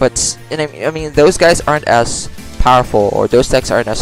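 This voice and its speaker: A man with a non-native accent speaks over music in the background. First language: not English. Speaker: mobile card game player. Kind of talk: casual game commentary. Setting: low-quality home microphone. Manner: hesitant, many fillers.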